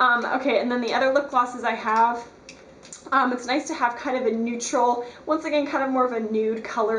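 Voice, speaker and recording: The intonation is fairly even. Audible room echo and noticeable background noise fill the recording. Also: woman. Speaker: beauty vlogger. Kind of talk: tutorial. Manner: fast; casual, filler-heavy.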